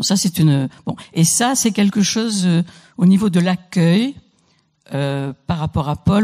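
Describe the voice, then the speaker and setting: A woman with fairly low pitch and a somewhat breathy voice speaks at a fairly slow pace, her pitch variation ordinary. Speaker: poet and writer. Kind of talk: panel talk. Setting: stage with audience. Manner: halting.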